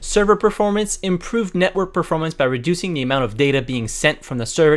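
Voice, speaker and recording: Very fast male speech with lively intonation. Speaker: gaming youtuber. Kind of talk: game update walkthrough.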